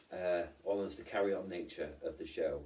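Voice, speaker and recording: This is a man speaking with a British accent. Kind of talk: casual vlog talk to camera. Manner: rambling, hesitant.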